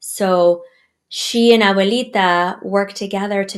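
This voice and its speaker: A woman talks with a Spanish accent. Her pace is very slow and her intonation fairly even. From United States, Cuban mother. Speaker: children's author and storyteller. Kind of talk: podcast interview.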